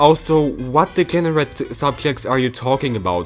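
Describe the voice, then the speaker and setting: Music in the background behind a man speaking at a moderate pace. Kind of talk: commentary video.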